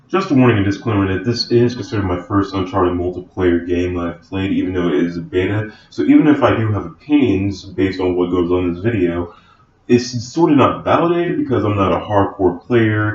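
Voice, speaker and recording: A man with a fairly low, somewhat breathy voice talks at a fairly quick pace with hardly any pauses and ordinary pitch variation. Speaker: gaming YouTuber. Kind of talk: casual gameplay commentary.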